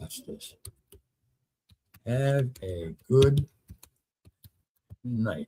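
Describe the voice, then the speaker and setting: This voice is somewhat breathy, with lively intonation and a very slow pace. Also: man. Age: 70s. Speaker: talk show host. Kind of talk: casual monologue on live stream. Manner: halting, thinking aloud.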